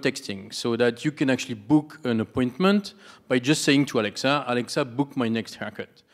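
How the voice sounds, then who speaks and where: Speaking at a fairly quick pace, a man with a strong French accent is heard against a quiet background. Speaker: audience member, startup CEO; audience member. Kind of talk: audience Q&A comment. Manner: halting. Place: hall. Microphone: handheld.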